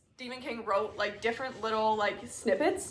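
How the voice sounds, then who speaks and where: Animated and fairly high-pitched, a woman speaks with audible room echo around her. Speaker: book YouTuber. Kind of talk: casual chat.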